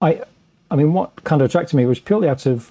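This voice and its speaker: A man speaks with an English accent. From England. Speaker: paranormal author and researcher. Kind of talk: podcast interview. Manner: halting, many fillers and restarts.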